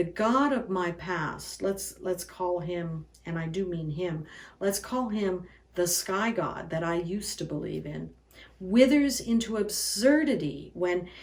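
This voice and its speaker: A woman speaks with a medium pitch and ordinary pitch variation. It is an ordinary speaking voice, delivered at a fairly slow pace. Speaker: pastor. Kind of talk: sermon delivery.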